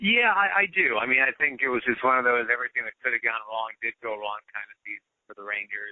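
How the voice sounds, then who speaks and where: A man at medium pitch, very fast with hardly any pauses, with lively intonation and big swings in loudness. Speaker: baseball radio broadcaster. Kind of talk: interview answer. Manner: conversational, with filler words.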